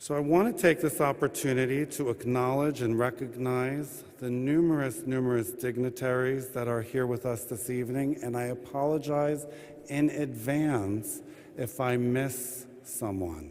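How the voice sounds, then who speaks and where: A man speaks at a medium pitch with ordinary pitch variation and a fairly slow pace. Noticeable background noise runs underneath. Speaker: administrative judge welcoming an audience at a courthouse event. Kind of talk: formal event welcome and opening remarks. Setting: live event in a courthouse rotunda addressing an audience.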